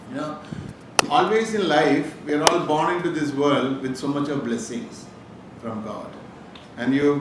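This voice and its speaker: A man with a Keralan accent, fairly high pitch, ordinary pitch variation, a moderate pace and long, frequent pauses, amid noticeable background noise and audible room echo. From Kerala, India (Calicut). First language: Malayalam. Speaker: businessman, motivational speaker. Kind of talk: inspirational talk to students.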